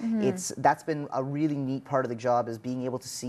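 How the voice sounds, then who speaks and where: Pitched in the medium range, a man talks with ordinary pitch variation. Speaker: motivational speaker. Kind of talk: interview answer. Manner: fast.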